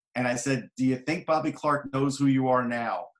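A man speaks with fairly even intonation and a fairly high pitch. His is an ordinary speaking voice. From New York. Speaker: hockey journalist and author. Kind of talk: casual chat.

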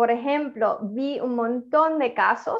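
Speaking at a very slow pace, a woman uses a high pitch with fairly even intonation. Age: 50s. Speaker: author. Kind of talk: interview. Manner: halting.

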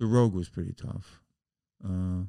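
A man speaks with a New York accent in a dark, mellow tone, using ordinary pitch variation. He talks at a fairly quick pace in a very clean recording with a silent background. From New York City (the Bronx). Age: 70s. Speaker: musician. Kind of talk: casual chat. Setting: studio.

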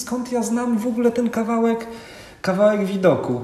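A man speaks at a moderate pace. Audible room echo and noticeable background noise come through. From northern Poland, Kwidzyn. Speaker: ultramarathon runner. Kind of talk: casual interview. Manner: halting, with fillers and repetitions.

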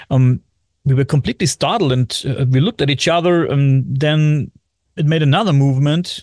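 A man's fairly high voice in a German accent, moderate pace, ordinary pitch variation, dry and close with no echo. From Germany, Bavaria. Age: 40s. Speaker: podcast host. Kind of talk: casual chat. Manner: halting.

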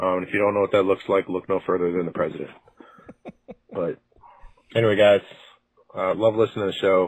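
Long, frequent pauses break up a man's very fast speech. His pitch is fairly low and his intonation monotone and flat. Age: 30s. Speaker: caller. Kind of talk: voicemail. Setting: phone call.

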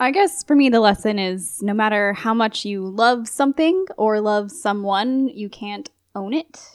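Speaking at a fairly slow pace with hardly any pauses, a woman with a plain, everyday voice and a fairly high pitch shows ordinary pitch variation. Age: 20s. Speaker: podcast guest. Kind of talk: casual chat.

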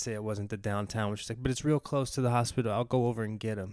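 A man speaks with an American accent at a medium pitch. The recording is very clean, with a silent background. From West Virginia. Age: 40s. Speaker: actor. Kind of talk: casual chat. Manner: mumbling.

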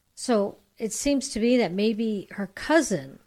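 A woman with an American accent uses an ordinary speaking voice at a fairly slow pace. Her intonation is lively, and the recording is very clean with a silent background. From US, San Francisco Bay Area. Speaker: guest. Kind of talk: casual chat. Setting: studio.

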